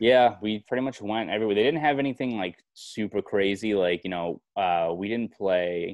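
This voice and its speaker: In a Boston accent, a man speaks at a moderate pace with hardly any pauses. His fairly low voice has ordinary pitch variation. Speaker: sports journalist. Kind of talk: podcast interview answer.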